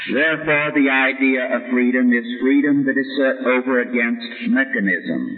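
A man's medium-pitched, fairly slow voice with lively intonation, noticeable background noise and audible room echo. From US (Armenian-American background). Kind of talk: lecture with Q&A.

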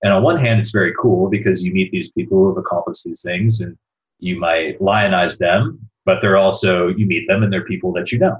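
Fairly low in pitch and somewhat breathy, a man talks at a fairly quick pace. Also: ordinary pitch variation. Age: 30s. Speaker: entrepreneur and investor. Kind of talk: interview.

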